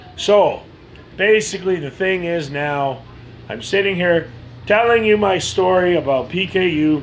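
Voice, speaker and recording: Over noticeable background noise, a man with a high voice speaks fairly slowly with lively intonation. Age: 40s. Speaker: person telling own medical story. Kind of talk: personal testimony. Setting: self-recorded video.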